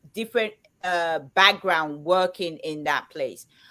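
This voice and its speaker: On a very clean recording with a silent background, a woman speaks at a medium pitch. Her pitch varies in an ordinary way. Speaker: livestream chat co-host. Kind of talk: casual chat. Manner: loud, as if shouting.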